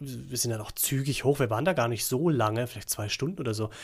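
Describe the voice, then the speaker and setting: A man speaks at a fairly quick pace and a medium pitch. His voice is somewhat breathy. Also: very clean recording, silent background. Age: 40s. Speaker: podcast co-host. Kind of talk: casual chat.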